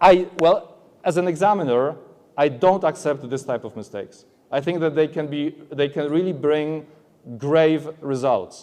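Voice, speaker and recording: This man has a Polish accent and a dark, mellow tone. His pitch is fairly high, with ordinary variation. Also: moderate pace. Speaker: aviation English examiner. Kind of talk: conference presentation. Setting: stage at trade expo. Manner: halting, many fillers.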